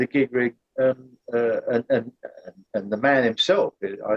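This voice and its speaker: A man with a British accent speaks at a moderate pace, the sound dry and close with no echo. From Britain. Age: 70s. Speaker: former synth company employee, aircraft engineer. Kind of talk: interview conversation. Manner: halting, many repeated words.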